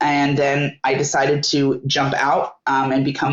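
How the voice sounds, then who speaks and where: Her voice sits very deep and low, carrying an American accent. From Northern California. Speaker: entrepreneur. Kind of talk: interview. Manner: halting.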